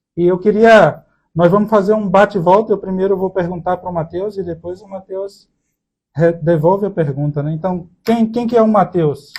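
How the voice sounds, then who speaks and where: A man with a high-pitched voice. He talks at a moderate pace with fairly even intonation. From Brazil, Recife, Pernambuco. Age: 30s. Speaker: podcast co-host, accounting student. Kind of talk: casual chat.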